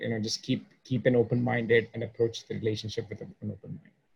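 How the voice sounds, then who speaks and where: The speaker goes at a moderate pace. The voice is somewhat breathy. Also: man. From India. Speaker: podcast host, performance coach for engineers. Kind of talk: interview podcast.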